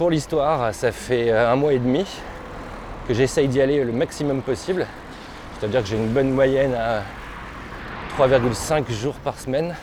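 With noticeable background noise behind him, a man of medium pitch speaks at a fairly slow pace with ordinary pitch variation and long, frequent pauses. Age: 40s. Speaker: podcaster. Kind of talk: casual narration while cycling. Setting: outdoors on an electric bike.

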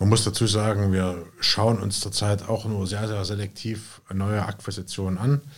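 The voice is somewhat breathy, with a moderate pace and monotone, flat intonation. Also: man, fairly low pitch for a man, hardly any pauses. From Jena, Thuringia, Germany. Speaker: real estate investor and company founder. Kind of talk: interview conversation.

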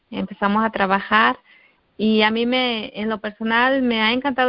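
In an ordinary speaking voice, a woman talks at a fairly high pitch and a fairly slow pace with fairly even intonation. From Guerrero, Mexico. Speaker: network marketing distributor. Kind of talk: testimony. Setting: conference call.

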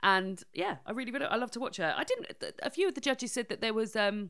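Speaking with an English accent, a woman uses a fairly high pitch and lively intonation in a very clean recording with a silent background. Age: 30s. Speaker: podcast host. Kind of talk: casual chat.

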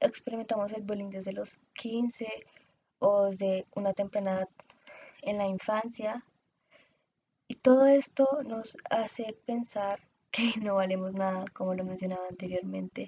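A woman speaks at a medium pitch in a dark, mellow tone, somewhat breathy and with fairly even intonation. Her pace is fairly slow, with long, frequent pauses. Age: 20s. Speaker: podcast host and communications student. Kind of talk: solo podcast monologue.

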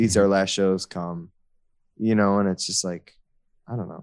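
Fairly even intonation and a moderate pace from a man with a fairly low pitch. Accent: American. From US Midwest, Chicago. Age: 30s. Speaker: hardcore band musician. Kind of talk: casual interview chat.

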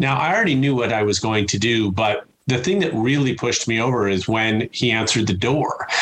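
A man with a Chicago accent at medium pitch, fairly quick with hardly any pauses, very even in loudness, with ordinary pitch variation and noticeable background noise. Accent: Chicago American. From US Midwest, Chicago. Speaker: customer experience speaker and author. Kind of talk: interview conversation.

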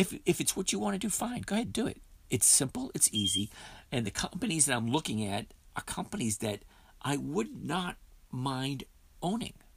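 Pausing long and often, a man speaks at a moderate pace in a fairly high, somewhat breathy voice that swings very widely in pitch. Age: 50s. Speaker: podcast host, dividend stock trader. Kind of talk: live trading session talk. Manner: casual, conversational.

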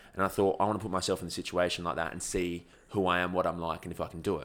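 In an Australian accent, a man talks at a very fast pace with a bright, sharp tone on a very clean recording with a silent background. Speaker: ultra-endurance athlete and YouTuber. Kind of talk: casual chat.

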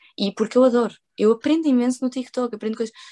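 Woman's voice with ordinary pitch variation and a dry, close sound with no echo. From Portugal. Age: 20s. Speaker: social media content creator. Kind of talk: casual interview. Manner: animated.

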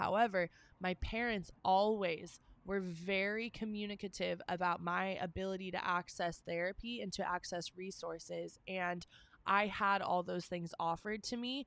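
A woman's plain, everyday voice at a medium pitch, moderate in pace, with fairly even intonation. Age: 20s. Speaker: podcast co-host. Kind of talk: casual chat.

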